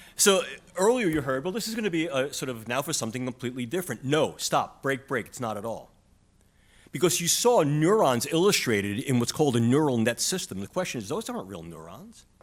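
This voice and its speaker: A man's fairly high voice in a strong New York accent, very fast, with big swings in loudness and very wide pitch swings. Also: very clean recording, silent background. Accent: New York City, strong. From New York City. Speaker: neuroscience professor. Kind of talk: conference panel talk.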